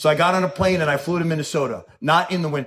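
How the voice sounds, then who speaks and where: Talking at a very fast pace in an animated tone, a man speaks in a New York accent. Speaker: recovering alcoholic speaker. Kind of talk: recovery talk. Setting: stage with audience.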